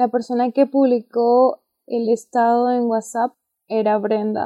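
A woman speaks at a fairly high pitch. Her intonation stays monotone and flat. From Peru. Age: young. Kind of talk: religious podcast chat with personal testimony.

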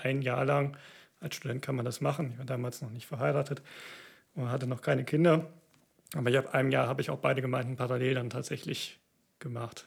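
Here a man talks at a very fast pace. His medium pitch keeps a fairly even intonation. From Siegerland, North Rhine-Westphalia, Germany. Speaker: orchestra violinist and church planter. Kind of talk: interview. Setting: video recording.

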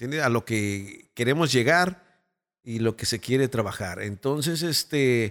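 A man with a Mexican accent talks at a fairly slow pace with lively intonation, on a very clean, dry, close recording with a silent background and no echo. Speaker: radio announcer and producer. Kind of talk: casual chat.

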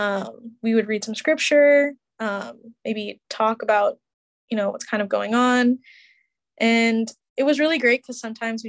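Against a quiet background, a woman speaks with fairly even intonation in a dry, close sound with no echo. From Chicago area. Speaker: podcast team member, recent graduate. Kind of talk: interview. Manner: casual, hesitant.

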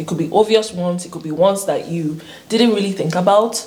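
Noticeable background noise accompanies the recording. A woman speaks with ordinary pitch variation. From Nigeria. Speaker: YouTuber, international student. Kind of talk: casual chat. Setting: studio. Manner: animated, laughing often.

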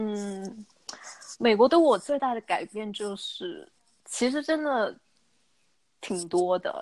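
A woman speaks at a very slow pace with a fairly high pitch, very wide pitch swings, and long, frequent pauses. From Guangzhou, southern China. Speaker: young professional living abroad. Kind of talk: casual chat.

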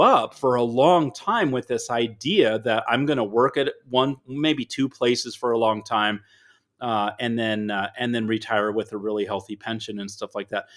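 A man with a normal speaking voice talks at a moderate pace. His pitch sits in the medium range and varies in an ordinary way. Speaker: author and speaker. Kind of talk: casual interview chat.

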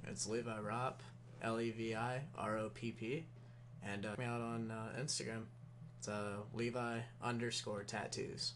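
Delivered at a moderate pace with very even loudness and monotone, flat intonation, the speech carries audible room echo. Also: man, medium pitch for a man. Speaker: tattoo artist. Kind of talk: casual chat.

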